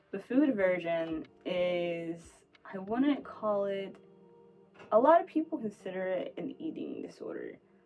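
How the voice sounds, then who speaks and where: A woman's medium-pitched voice with lively intonation and music in the background. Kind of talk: personal monologue. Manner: halting, self-correcting; rapid word stream.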